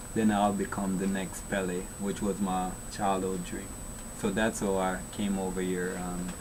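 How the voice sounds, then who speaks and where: In a Jamaican accent, a man speaks fairly slowly in a very deep, low voice with monotone, flat intonation and audible room echo. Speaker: children's author. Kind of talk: casual interview. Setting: studio.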